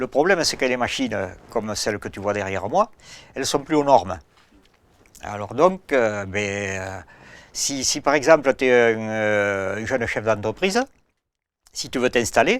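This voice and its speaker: Lively intonation marks a man at medium pitch who talks at a fairly slow pace with long, frequent pauses. The recording is very clean, with a silent background. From rural France. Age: 60s. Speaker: farmer. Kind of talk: casual chat. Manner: halting.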